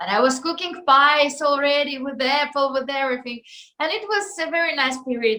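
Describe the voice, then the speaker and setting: A woman with a high pitch speaks at a moderate pace, with ordinary pitch variation. Her voice is raised and projected, with a bright, sharp tone. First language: not English. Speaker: singer. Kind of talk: interview. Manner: halting, many fillers.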